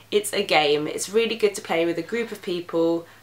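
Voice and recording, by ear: There is audible room echo around a woman speaking at a fairly quick pace. Her pitch is fairly low, with ordinary variation.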